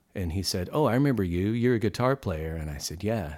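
In an American accent, a man with a very deep, low pitch and a dark, mellow tone talks at a fairly quick pace with lively intonation, recorded very cleanly against a silent background. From New Mexico, US (Albuquerque). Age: 50s. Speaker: music teacher. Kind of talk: casual chat.

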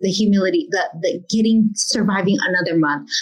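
The speaker has a plain, everyday voice. Words come at a moderate rate. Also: woman. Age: 40s. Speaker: entrepreneur and celebrity host. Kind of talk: interview.

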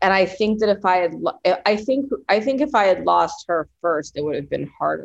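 With lively intonation and some vocal fry, a woman speaks at a moderate pace. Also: medium pitch for a woman. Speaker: author and screenwriter. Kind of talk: casual interview about grief.

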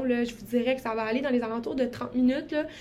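A woman is speaking. Her voice sits high in pitch. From Quebec, Saguenay-Lac-Saint-Jean. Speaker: podcast co-host, medical student. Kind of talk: casual podcast introduction.

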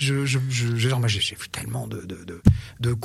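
His voice comes out somewhat breathy. This man's pitch sits at a medium level and varies in an ordinary way. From Paris region, France (Antony). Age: 60s. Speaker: podcast guest. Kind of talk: casual chat.

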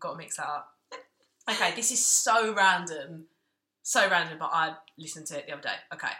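Talking at a very fast pace with long, frequent pauses, a woman with a fairly low, bright, sharp voice uses lively intonation and big swings in loudness. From Southeast London. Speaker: podcast co-host. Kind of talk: casual chat. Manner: fast talker.

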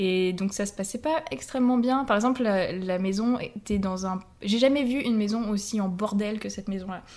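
In a normal speaking voice, a woman talks at a moderate pace with a medium pitch and ordinary pitch variation. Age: 20s. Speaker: language teacher. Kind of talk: casual chat.

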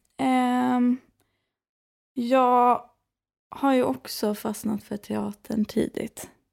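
In a very clean recording with a silent background, a woman speaks at a very slow pace with long, frequent pauses. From western Sweden (Skara, Västergötland). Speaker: podcast co-host. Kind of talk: casual chat.

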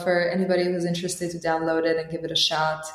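A woman with an Albanian accent speaks over noticeable background noise. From Albania (Tirana). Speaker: startup founder and CEO. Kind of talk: interview.

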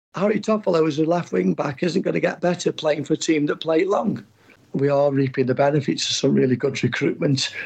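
A man at a fairly quick pace, fairly high in pitch, with lively intonation, vocal fry and very even loudness. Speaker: football agent. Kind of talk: interview.

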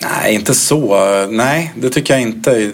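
A man talks over noticeable background noise. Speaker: former footballer. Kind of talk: interview. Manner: halting.

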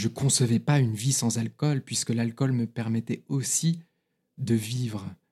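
A man speaks at a medium pitch and a fairly slow pace, his tone dark and mellow and somewhat breathy. His loudness stays very even with ordinary pitch variation, on a very clean recording with a silent background. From France, Paris, early years in London. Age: 30s. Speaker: recovered alcoholic. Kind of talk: testimony.

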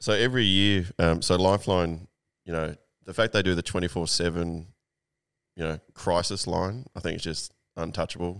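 In an Australian accent, a man with a very deep, low pitch speaks at a moderate pace with fairly even intonation, on a very clean recording with a silent background. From Sydney, Australia (inner west). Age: 40s. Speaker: magazine owner and writer. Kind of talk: casual interview chat.

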